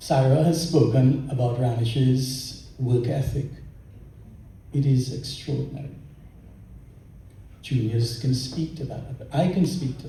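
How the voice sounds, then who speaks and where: Amid audible room echo, a man speaks at a fairly slow pace and medium pitch with fairly even intonation, big swings in loudness, and long, frequent pauses. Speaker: lawyer. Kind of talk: tribute speech. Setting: luncheon event with audience.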